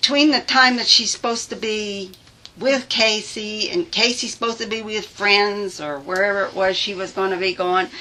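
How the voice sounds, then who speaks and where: A woman talks fairly slowly, her pitch varying in an ordinary way, as noticeable noise sounds behind her. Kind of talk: police interview answer.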